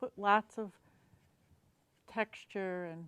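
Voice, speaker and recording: A woman speaks at a very slow pace in a medium-pitched voice, the sound dry and close with no echo. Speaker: painting instructor. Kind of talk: painting tutorial. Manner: halting, hesitant while painting.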